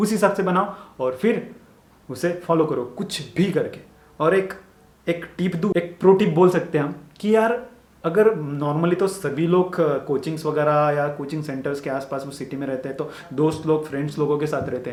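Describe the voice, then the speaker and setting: A man with a Marathi accent speaks at a moderate pace in a fairly high pitch, his pitch rising and falling in an ordinary way, with audible room echo. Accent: Marathi-accented Hindi. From Maharashtra, India (village). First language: Marathi (speaking Hindi). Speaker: medical student YouTuber. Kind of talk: motivational advice talk. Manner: casual, repetitive conversational.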